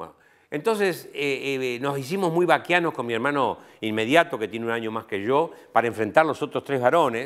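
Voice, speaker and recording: Speaking with an Argentine accent, a man uses a fairly high pitch and lively intonation at a fairly quick pace. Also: very clean recording, silent background. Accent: Argentine Spanish (voseo). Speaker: professor. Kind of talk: interview.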